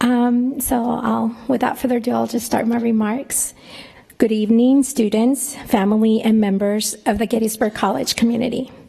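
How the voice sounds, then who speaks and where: Speaking with a Spanish accent, a woman keeps a monotone, flat intonation at a fairly high pitch and a moderate pace, with noticeable background noise. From northern Mexico, raised in New Mexico. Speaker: professor. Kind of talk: commencement speech. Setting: ballroom ceremony with audience.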